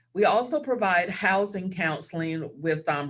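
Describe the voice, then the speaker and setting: A woman with a Southern US accent, fairly low-pitched, at a moderate pace. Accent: Southern American. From US South. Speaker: credit counselor. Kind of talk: webinar presentation. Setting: video call.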